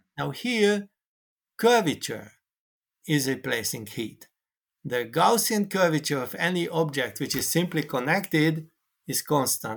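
A man with a Hungarian accent speaks fairly slowly in a fairly high voice with lively intonation, on a very clean recording with a silent background. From Hungary. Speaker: mathematician. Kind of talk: interview conversation.

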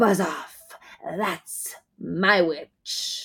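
In a put-on character voice at a middle pitch, the speaker sounds raspy, croaky, shrill and growling. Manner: menacing, defiant.

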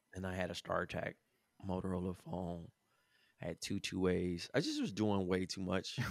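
A man speaks at a moderate pace with a very deep, low pitch and a monotone, flat intonation. The recording is very clean, dry and close, with no echo and a silent background. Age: 30s. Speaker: creative in advertising, former basketball player. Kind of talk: casual chat.

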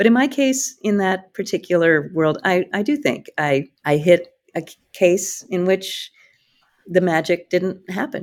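A woman's unremarkable speaking voice in an American accent, medium in pitch, with lively intonation and a fairly slow pace. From rural Iowa. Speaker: company CEO. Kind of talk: interview conversation.

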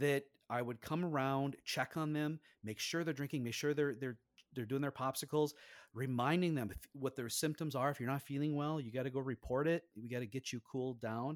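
This voice has an Upper Midwest accent and fairly even intonation at a fairly quick pace. The recording is very clean, with a silent background. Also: man, fairly high pitch for a man. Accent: Upper Midwest American. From Minnesota, upper Midwest US. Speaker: safety engineering professor. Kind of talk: casual interview.

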